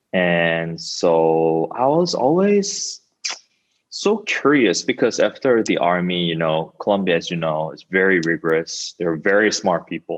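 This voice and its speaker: Speaking at a fairly slow pace, a man with a Korean accent has a very deep, low pitch. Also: ordinary pitch variation. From South Korea. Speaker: startup founder. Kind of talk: interview.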